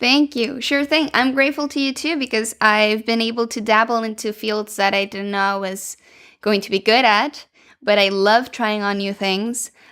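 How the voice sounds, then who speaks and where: A woman speaks in a fairly high voice with ordinary pitch variation. The recording is very clean, with a silent background. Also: moderate pace. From Venezuela. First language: Spanish. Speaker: podcast co-host and language consultant. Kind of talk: casual podcast conversation.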